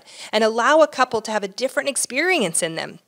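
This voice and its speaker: A woman talks at a fairly quick pace with ordinary pitch variation. The recording is very clean, with a silent background. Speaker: marriage and family therapist, relationship podcast co-host. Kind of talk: casual chat about relationships. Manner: fast talker.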